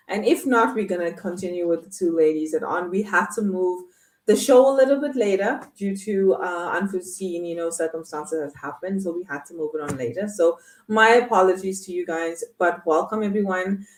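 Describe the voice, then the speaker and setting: A woman talks at a fairly quick pace in a plain, everyday voice with a medium pitch. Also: ordinary pitch variation. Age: 30s. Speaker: online show host. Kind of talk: live online talk show. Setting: live stream with chat.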